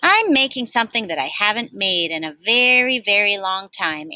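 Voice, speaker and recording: A female-sounding voice of medium pitch, with a warm tone, performs a put-on character voice. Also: moderate pace. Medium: read story. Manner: folksy, warm.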